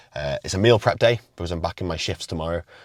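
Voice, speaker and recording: Very fast speech from a man with ordinary pitch variation, a dry, close sound with no echo, and a very clean recording over a silent background. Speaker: fitness coach and natural bodybuilder. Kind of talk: casual vlog; voiceover narration. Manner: quiet.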